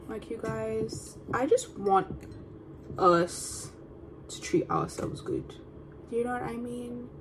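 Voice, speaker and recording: A woman speaks very slowly, with long, frequent pauses, as noticeable background noise carries on. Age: 20s. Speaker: podcast host, student. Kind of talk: casual solo vlog-style chat. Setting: at home, eating on camera. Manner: casual, rambling with fillers.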